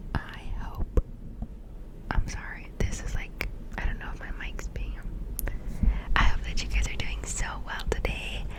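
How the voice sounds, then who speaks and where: A fairly slow whisper broken by long, frequent pauses, over noticeable background noise. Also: woman. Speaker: ASMR creator. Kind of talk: casual talk to camera. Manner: whispered.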